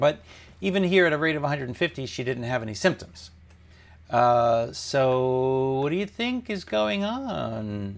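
Here a man speaks with an American accent at a very slow pace. His pitch swings very widely. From the Bronx, New York; Italian heritage. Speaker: cardiologist presenting an ECG case on a livestream. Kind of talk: medical lecture. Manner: conversational teaching, explains step by step. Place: office. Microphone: lapel.

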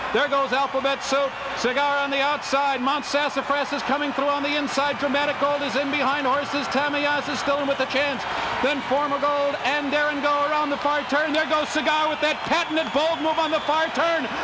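A man's raised, projected voice sits at an extremely high pitch, moving at a fairly quick pace with very even loudness over noticeable background noise. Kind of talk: live horse race commentary. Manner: builds to an excited, emphatic pitch at the upset finish.

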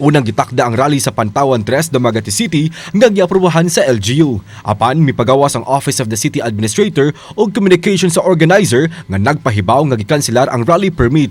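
A man's fairly high voice, very fast and with hardly any pauses, its pitch swinging very widely. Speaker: news reporter. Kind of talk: scripted TV news report narration in Cebuano, read in a steady voice-over. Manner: formal, even-paced, measured newsreader delivery.

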